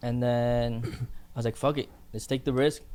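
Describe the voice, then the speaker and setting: Dark and mellow in tone, a man speaks at a medium pitch. He goes at a fairly quick pace with monotone, flat intonation. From Philippines, moved to Canada at 11. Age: 20s. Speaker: barbershop owner. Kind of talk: casual chat.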